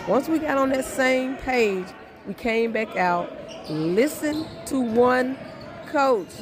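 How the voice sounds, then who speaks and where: A woman's lively intonation carries over noticeable background noise. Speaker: high school basketball coach. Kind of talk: post-game interview.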